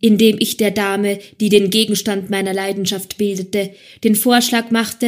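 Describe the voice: Someone reads the text out. It is plain reading aloud.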